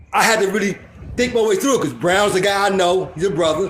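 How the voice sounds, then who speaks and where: An animated tone comes at a very fast pace, with audible room echo and noticeable background noise. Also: man. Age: 60s. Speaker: panel guest. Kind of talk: casual chat. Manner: loud.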